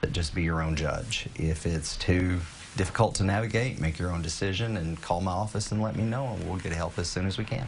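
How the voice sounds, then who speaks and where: A man with a very deep, low pitch speaks at a fairly quick pace, somewhat breathy. His pitch varies in an ordinary way, with light background noise behind him. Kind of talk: interview answer. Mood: calm, informative. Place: office.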